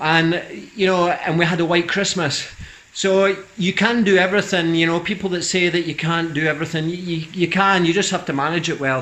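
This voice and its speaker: Noticeable background noise and audible room echo surround a man speaking at a fairly quick pace, high in pitch, with fairly even intonation. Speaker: vlogger, cyclist. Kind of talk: casual vlog monologue. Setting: garage. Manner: fast.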